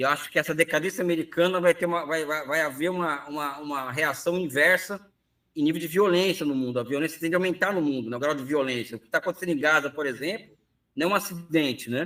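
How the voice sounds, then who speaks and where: Talking at a very fast pace, the man has a fairly high pitch and a bright, sharp tone. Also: ordinary pitch variation. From Brazil, São Paulo city. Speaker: economist professor. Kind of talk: interview conversation.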